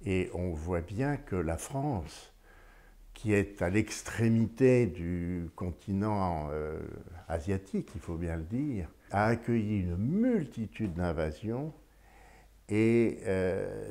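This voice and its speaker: A man with a dark, mellow tone speaks very slowly, his intonation lively. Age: 80s+. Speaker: retiree interviewee. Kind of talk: interview answer. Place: home room. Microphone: lapel.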